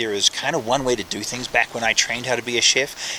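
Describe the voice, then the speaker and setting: A man's pitch rises and falls in an ordinary way while noticeable background noise plays under his voice. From New Zealand. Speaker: professional chef. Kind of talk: interview.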